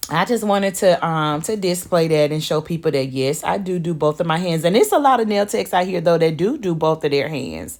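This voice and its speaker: Here is a woman with an unremarkable speaking voice and a fairly low pitch, her pitch varying in ordinary ways. She moves at a fairly quick pace with hardly any pauses. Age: 40s. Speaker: nail technician and beauty vlogger. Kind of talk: casual voiceover while working (watch me work video). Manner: casual, chatty with many fillers.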